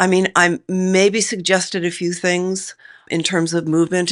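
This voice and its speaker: Against a quiet background, a woman speaks with monotone, flat intonation at a fairly low pitch. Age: 70s. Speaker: theatre director. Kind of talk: interview.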